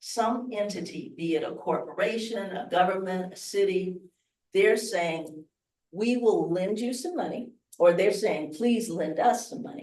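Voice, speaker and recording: Speaking slowly with an American accent, a woman with a dark, mellow tone and medium pitch shows ordinary pitch variation and big swings in loudness, with audible room echo. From US Midwest, Chicago. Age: 70s. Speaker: investing speaker. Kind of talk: workshop talk. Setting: hotel event room with live audience.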